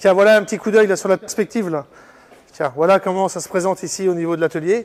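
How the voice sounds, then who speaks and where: Words come at a very fast pace. The intonation is fairly even. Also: man, high pitch for a man. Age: 40s. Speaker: car restorer, garage owner. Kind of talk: casual interview on workshop tour. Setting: workshop. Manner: hesitant, many fillers.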